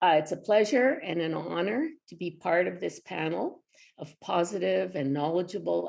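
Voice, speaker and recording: A woman speaks with a Canadian accent at a moderate pace. Her intonation is lively, with vocal fry. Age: 70s. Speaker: retired health promotion consultant. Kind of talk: presentation. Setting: pre-recorded webinar.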